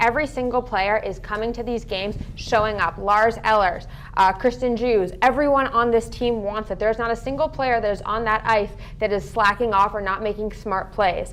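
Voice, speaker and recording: A woman at a fairly high pitch, upbeat and enthusiastic, at a moderate pace amid noticeable background noise. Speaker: sports talk show anchor and analyst. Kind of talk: live sports talk show commentary, energetic analysis. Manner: upbeat, enthusiastic.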